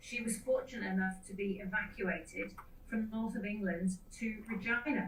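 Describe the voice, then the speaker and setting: A woman's fairly high voice at a moderate pace, fairly even in intonation, with audible room echo and noticeable background noise. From UK. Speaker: mining company sustainability executive. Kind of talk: conference presentation. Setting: video call from a hotel room.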